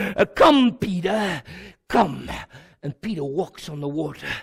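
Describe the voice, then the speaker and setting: In an animated tone, a man speaks at a fairly slow pace. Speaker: pastor. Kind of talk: sermon.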